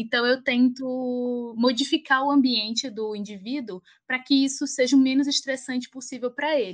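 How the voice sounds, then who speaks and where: In a northeastern Brazilian accent, a woman with a high-pitched voice speaks at a moderate pace against a quiet background. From Alagoas, northeast Brazil. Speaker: pharmacist and doctoral researcher. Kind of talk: interview.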